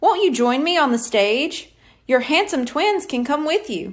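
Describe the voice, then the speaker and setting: A woman uses a put-on character voice pitched high, with very wide pitch swings. The recording is very clean, with a silent background. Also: moderate pace. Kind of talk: stage showman. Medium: read story. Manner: smooth, theatrical, flattering.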